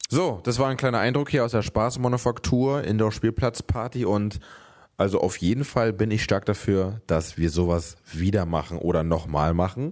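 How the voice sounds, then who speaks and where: A man with a fairly low pitch speaks at a moderate pace, his intonation lively and his loudness very even. The recording is very clean, with a silent background. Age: 30s. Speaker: podcast host, father of a toddler. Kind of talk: casual chat. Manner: animated.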